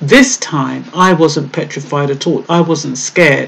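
A woman speaks with a very deep, low pitch. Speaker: vlogger. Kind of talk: casual vlog commentary. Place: home room. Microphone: webcam.

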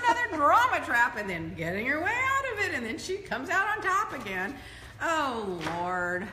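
A woman's raised, projected voice at a moderate pace, with audible room echo and light background noise. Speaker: show host. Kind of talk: casual vlog chat. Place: home room.

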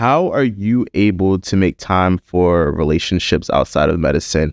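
Very deep, low-pitched man, recorded dry with no echo in a quiet background. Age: 30s. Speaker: podcast host and medical student; podcast host. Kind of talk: casual chat. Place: studio. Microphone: studio mic.

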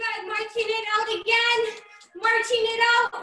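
Over faint background music, a woman speaks in a raised, projected voice at a very slow pace, with audible room echo. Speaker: fitness trainer. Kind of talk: workout instruction. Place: gym. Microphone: video call.

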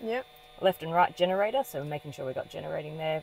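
Against light background noise, a woman with a very deep, low pitch speaks at a fairly quick pace, with a dry sound and no echo. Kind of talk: explanatory tour talk. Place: plane. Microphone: phone near.

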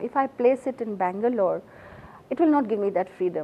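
A woman's fairly high voice in an Assamese accent, fairly quick in pace and with very wide pitch swings. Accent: Indian English (Assamese). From India, Assam. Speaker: novelist. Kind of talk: interview. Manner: halting. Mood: warm, reflective. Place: studio.

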